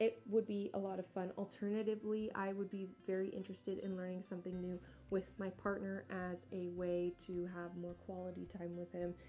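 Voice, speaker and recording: A woman at medium pitch, monotone and flat, at a fairly quick pace with hardly any pauses, over music in the background. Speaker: indie author and vlogger. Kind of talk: casual vlog monologue.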